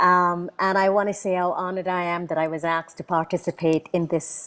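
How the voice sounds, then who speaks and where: Speaking in a plain, everyday voice, a woman with a fairly low pitch keeps to a moderate pace. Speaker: invited speaker, Caribbean writer and thinker. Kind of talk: prepared book presentation talk. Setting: online video event with simultaneous interpretation.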